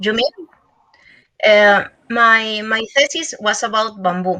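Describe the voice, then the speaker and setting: A woman speaks with a non-native accent at a fairly high pitch. Her tone is bright and sharp. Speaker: conference speaker, researcher. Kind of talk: conference Q&A. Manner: halting, hesitant.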